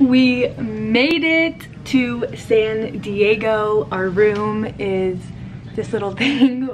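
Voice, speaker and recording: Very slowly, a woman speaks over faint music in the background. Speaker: vlogger. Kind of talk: casual vlog chat. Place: home room. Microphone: phone near.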